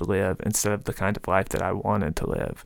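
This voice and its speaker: With a Mississippi accent, a man talks at a fairly quick pace and fairly even intonation on a very clean recording with a silent background. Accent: Southern US (Mississippi). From rural Mississippi, US South. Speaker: novelist and professor. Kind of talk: interview.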